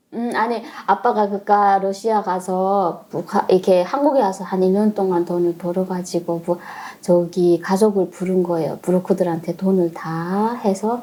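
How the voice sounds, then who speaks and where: Noticeable background noise sits behind a woman talking at a fairly slow pace with fairly even intonation. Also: medium pitch for a woman. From North Korea. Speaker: North Korean defector. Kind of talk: interview.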